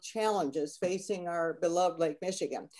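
A woman speaks at a moderate pace in a dark, mellow tone against a quiet background. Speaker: speaker. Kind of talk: webinar introduction. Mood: warm, friendly, smiling. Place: home room. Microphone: webcam.

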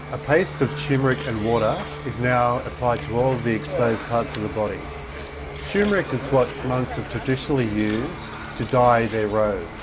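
This man's voice is medium in pitch, and noticeable background noise can be heard. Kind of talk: documentary narration.

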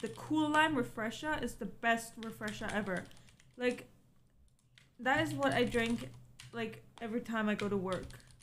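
Over light background noise, a woman with vocal fry makes very wide pitch swings and leaves long, frequent pauses. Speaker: stream co-host. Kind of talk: casual livestream chat. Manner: playful, laughs often. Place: home room.

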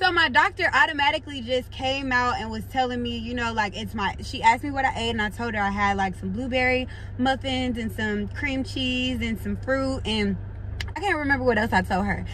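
A woman at a fairly quick pace, dry with no echo, over light background noise. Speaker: vlogger. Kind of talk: casual vlog chat. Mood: animated, frustrated storytelling. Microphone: phone near.

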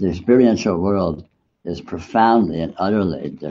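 A man at a moderate pace, ordinary pitch variation, over light background noise. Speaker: meditation teacher. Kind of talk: spiritual talk.

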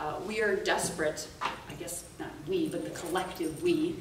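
A woman at a fairly slow pace, with audible room echo and noticeable background noise. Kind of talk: presentation talk. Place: meeting room. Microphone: camera far.

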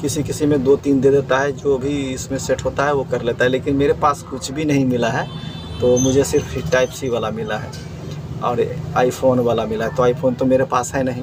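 A man talks at a moderate pace with little movement in his pitch. Background noise is clearly audible. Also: medium pitch for a man.

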